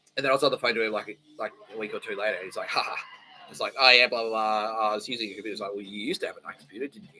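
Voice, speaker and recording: Over noticeable background noise, a man with an Australian accent speaks at a very fast pace. His loudness swings widely. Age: 40s. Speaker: podcast host. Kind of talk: casual monologue. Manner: animated.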